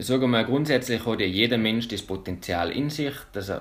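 Speaking at a moderate pace, the man has an unremarkable speaking voice, medium in pitch with ordinary pitch variation. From Austria (Salzburg, Pinzgau). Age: 20s. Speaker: mental trainer and freerunner. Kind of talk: interview.

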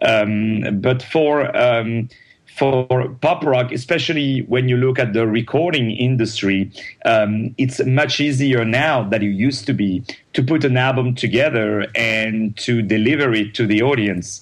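In a French accent, the speaker goes at a fairly slow pace with very even loudness and ordinary pitch variation against a quiet background. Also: man, medium pitch for a man. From France, Paris. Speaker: opera and Broadway singer. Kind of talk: interview. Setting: phone call. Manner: animated, laughs often.

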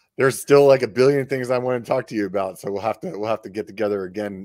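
A man with an American accent talks at a very fast pace with ordinary pitch variation. The recording is very clean with a silent background and a dry, close sound with no echo. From Pennsylvania. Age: 40s. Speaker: podcast host. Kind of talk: casual chat. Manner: animated.

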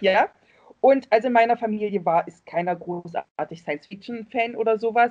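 This is a woman with a normal speaking voice. She talks at a moderate pace with ordinary pitch variation. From East Germany. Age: 40s. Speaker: Facebook fan group admin. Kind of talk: casual chat.

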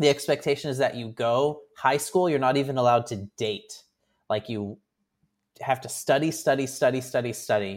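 The recording is very clean, and the background is silent. A man with an ordinary speaking voice talks at a medium pitch and moderate pace, with ordinary pitch variation. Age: 30s. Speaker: podcast co-host. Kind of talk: casual chat.

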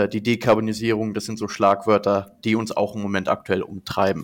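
The man's fairly low voice holds a monotone, flat intonation. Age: 20s. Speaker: management consultant. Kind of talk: interview. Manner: many fillers.

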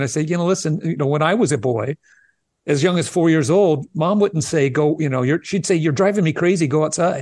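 A fairly high male voice, dry and close with no echo, against a quiet background. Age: 60s. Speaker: early childhood educator. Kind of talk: interview.

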